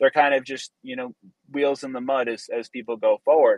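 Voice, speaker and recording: Heard in a dry, close sound with no echo, a man talks at a fairly high pitch with fairly even intonation. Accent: American. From US Northeast. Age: 20s. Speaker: engineer. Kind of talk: casual chat.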